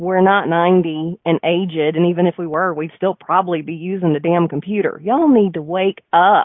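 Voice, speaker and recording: A woman's unremarkable speaking voice, fairly low in pitch, at a moderate pace with fairly even intonation and hardly any pauses. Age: 40s. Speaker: radio host and marketing coach. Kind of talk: live radio talk show. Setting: studio.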